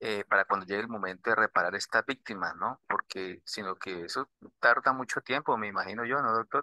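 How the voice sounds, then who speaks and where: At a fairly quick pace, a man with a Colombian accent speaks at a medium pitch with ordinary pitch variation. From southern Colombia. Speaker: student. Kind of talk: class question.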